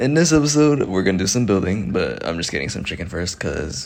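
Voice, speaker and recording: Quiet and very fast, a man speaks with very wide pitch swings. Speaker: gaming youtuber. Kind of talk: gameplay commentary. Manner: casual, hesitant with fillers.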